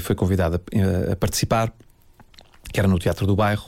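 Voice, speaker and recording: A man with a somewhat deep voice talks rather quickly, his pitch varying in a typical way. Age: 40s. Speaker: architect. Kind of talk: personal storytelling interview. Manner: halting, many fillers and repetitions.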